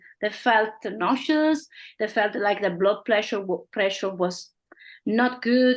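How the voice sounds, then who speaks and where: This woman has an Italian accent and a fairly high voice. She speaks at a moderate pace. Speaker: company representative. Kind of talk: interview. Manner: halting.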